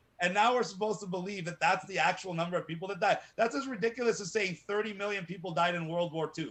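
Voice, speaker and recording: Loud and at a very fast pace, the speech has hardly any pauses and ordinary pitch variation. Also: man, high pitch for a man. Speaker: activist. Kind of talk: interview. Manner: animated.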